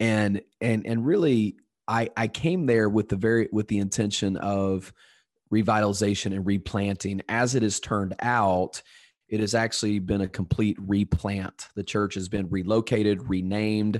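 A man's fairly low, plain, everyday voice at a moderate pace, dry and close with no echo, over a quiet background. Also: fairly even intonation. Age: 40s. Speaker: pastor. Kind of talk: interview conversation.

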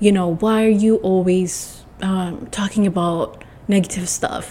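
A woman speaks at a medium pitch and a fairly slow pace. Her intonation stays fairly even over noticeable background noise. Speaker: solo podcast host. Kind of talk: casual solo monologue.

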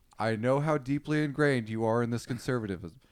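In an American accent, an unremarkable speaking voice talks at a moderate pace with ordinary pitch variation. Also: man. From Texas, Austin. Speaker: comedian and rideshare driver. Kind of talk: casual chat.

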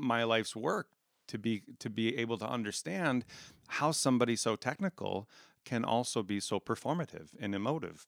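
A man with an American accent has an ordinary speaking voice at medium pitch with ordinary pitch variation. The sound is dry and close with no echo, on a very clean recording with a silent background. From South Dakota, US Midwest. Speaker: chemical engineer and community theater actor. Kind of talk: interview, personal storytelling.

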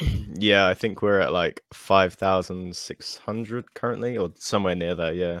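A man with a British accent speaks at a moderate pace in a very deep, low voice with ordinary pitch variation, the sound dry and close with no echo. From UK. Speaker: guitar game streamer. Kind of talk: casual chat. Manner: halting, repeats words.

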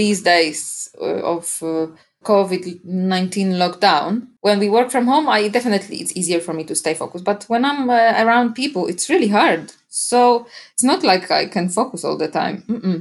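The speaker has a Polish accent and talks at a fairly slow pace with lively intonation. The recording is very clean and the background silent. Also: woman. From Poland. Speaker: podcast guest, digital marketer and home cook. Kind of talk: casual interview chat. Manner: energetic, straightforward.

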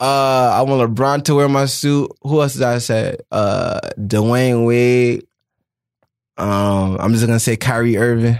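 A man with an American accent and a plain, everyday voice talks at a fairly slow pace and medium pitch, his intonation fairly even and his loudness very even, on a very clean recording with a silent background. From New Jersey. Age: 20s. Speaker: fashion designer. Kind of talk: casual interview.

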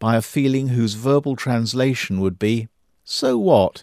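A man with an ordinary speaking voice talks at a moderate pace and medium pitch in a very clean recording with a silent background. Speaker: audiobook-style reader of an essay. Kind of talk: literary memoir reading, first-person prison narrative read aloud. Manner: measured, reflective, contemplative.

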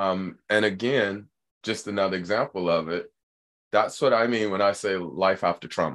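A man's fairly low-pitched voice with an animated, enthusiastic tone, ordinary pitch variation and a moderate pace, over a quiet background. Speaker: podcast host.

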